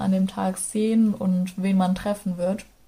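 Her voice is medium in pitch and somewhat breathy, with monotone, flat intonation. The recording is very clean with a silent background. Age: 20s. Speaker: travel storyteller, local radio presenter. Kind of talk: casual travel narration.

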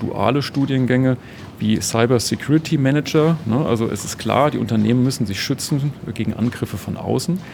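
Noticeable background noise runs under a man speaking at a moderate pace with ordinary pitch variation. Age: 50s. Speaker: company spokesperson. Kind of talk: interview. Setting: on-site at company open evening.

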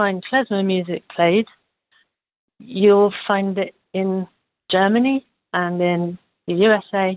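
A woman with a London accent at medium pitch, very slow pace and fairly even intonation, with long, frequent pauses. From London, England. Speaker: folk musician. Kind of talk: interview. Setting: phone call.

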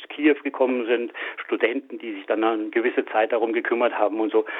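Against noticeable background noise, a man talks fairly quickly at medium pitch with fairly even intonation. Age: 60s. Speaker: mechanical engineer and animal welfare volunteer. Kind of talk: interview. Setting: phone call. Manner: halting.

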